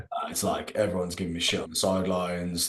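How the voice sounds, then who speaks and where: A man with a West Midlands accent talks very fast in a very deep, low voice, his intonation monotone and flat. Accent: local West Midlands. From English West Midlands. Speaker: rugby content creator. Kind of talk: casual podcast interview. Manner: casual, hesitant with fillers.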